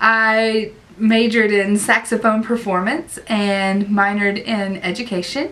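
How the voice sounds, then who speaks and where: The speaker has an Appalachian accent. The intonation stays fairly even. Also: woman, fairly high pitch for a woman, fairly slow pace. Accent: Southern US (Appalachian). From US South, Southwest Virginia. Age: 30s. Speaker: online ESL teacher and vlogger. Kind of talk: casual vlog talk.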